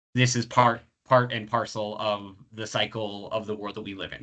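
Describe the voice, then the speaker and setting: Against a quiet background, a man's fairly low voice has a bright, sharp tone. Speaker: professor running a career webinar. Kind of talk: webinar Q&A. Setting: video call webinar. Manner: fast; halting, many fillers.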